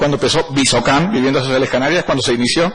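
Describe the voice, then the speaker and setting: Noticeable background noise behind a man with a fairly high-pitched voice. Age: 60s. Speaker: auditor and economist, parliamentary candidate. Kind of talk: formal parliamentary hearing presentation. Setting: parliamentary committee.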